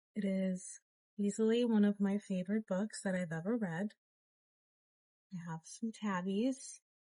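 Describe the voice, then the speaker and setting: A soft-spoken woman talks at a fairly slow pace and a medium pitch, her intonation fairly even, with long, frequent pauses and a dry, close sound that has no echo. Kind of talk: casual talk to camera.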